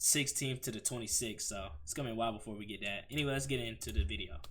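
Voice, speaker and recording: A man talks at a very fast pace in a bright, sharp tone. His pitch is medium, with ordinary pitch variation. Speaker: YouTube reaction streamer. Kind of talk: casual reaction commentary. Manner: stuttering.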